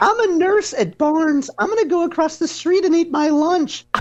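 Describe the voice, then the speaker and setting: Put-on character voice from a man, pitched extremely high. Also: moderate pace. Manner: put-on, sweet, mocking.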